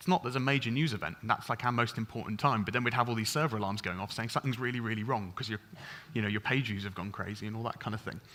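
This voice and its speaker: This man talks at a very fast pace with a bright, sharp tone. His pitch sits in the medium range and varies in an ordinary way. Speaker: software engineer. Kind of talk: conference talk. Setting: stage with audience.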